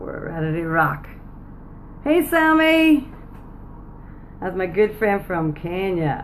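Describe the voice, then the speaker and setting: A woman with a Northern Irish accent talks at a very slow pace, with long, frequent pauses and big swings in loudness. Noticeable background noise and audible room echo fill the recording. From Northern Ireland. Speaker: business coach. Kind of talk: live stream chat. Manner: animated.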